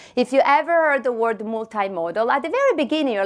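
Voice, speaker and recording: With an Italian accent, a woman speaks at a fairly high pitch with very wide pitch swings, on a very clean recording with a silent background. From Italy. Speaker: tech company marketing leader. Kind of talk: conference presentation. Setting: stage with audience. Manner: animated.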